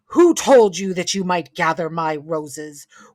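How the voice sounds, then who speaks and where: Someone performs a put-on character voice on a very clean recording with a silent background. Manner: angry, threatening.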